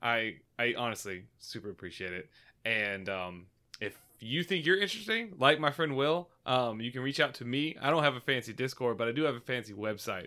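Loud speech at a fairly quick pace, in a very clean recording with a silent background. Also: man, medium pitch for a man, lively intonation. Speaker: podcast host. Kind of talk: casual chat.

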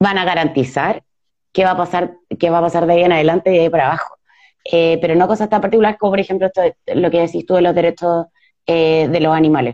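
In a Chilean accent, a woman speaks very fast at a fairly low pitch with a dark, mellow tone, fairly even intonation and very even loudness, in a dry, close sound with no echo. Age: 30s. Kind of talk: live interview. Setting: video live stream.

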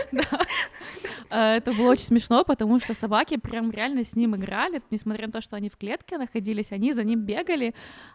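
Heard in a dry, close sound with no echo, a woman with a normal speaking voice talks at a fairly quick pace and a fairly high pitch, with ordinary pitch variation. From Ukraine. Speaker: podcast co-host. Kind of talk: casual chat.

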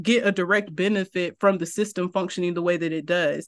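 A woman with an ordinary speaking voice talks at a moderate pace with fairly even intonation over a quiet background. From Eastern North Carolina. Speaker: criminology professor. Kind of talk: podcast interview.

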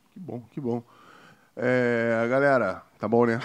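Over a quiet background, a man of medium pitch speaks at a fairly slow pace. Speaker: podcast host, former footballer. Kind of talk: casual chat. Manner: animated.

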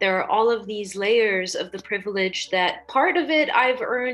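Music plays behind a woman speaking at a moderate pace. Her pitch is fairly high, with ordinary variation. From Dubai, UAE (Lebanese-Egyptian family). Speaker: podcast host and perfumer. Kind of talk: casual interview conversation.

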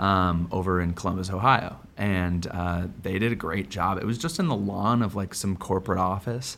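A man with a very deep, low pitch and a Midwestern American accent speaks at a moderate pace with fairly even intonation and hardly any pauses. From Quad Cities, US Midwest. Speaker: newsletter editor. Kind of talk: interview.

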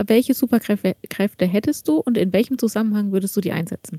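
This woman's voice is somewhat breathy, with a dark, mellow tone. The sound is dry and close with no echo. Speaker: podcast co-host. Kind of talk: casual chat.

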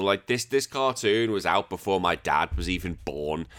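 Recorded very cleanly against a silent background, a man with an English accent speaks at a fairly slow pace in an animated tone with lively intonation. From England. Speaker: retro gaming podcaster. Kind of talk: casual chat.

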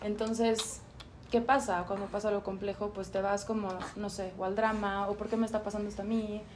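Medium-pitched, a woman talks at a fairly quick pace. Her intonation stays monotone and flat. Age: 30s. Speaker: yoga teacher. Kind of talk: casual chat.

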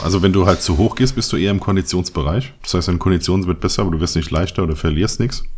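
A man's very deep, low voice at a very fast pace, with hardly any pauses and ordinary pitch variation. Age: 30s. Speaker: photographer and podcast co-host. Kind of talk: casual chat.

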